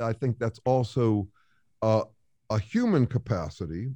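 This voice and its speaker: Against a quiet background, a man with a fairly low pitch speaks at a fairly slow pace with ordinary pitch variation. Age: 60s. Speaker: author and researcher. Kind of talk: casual interview.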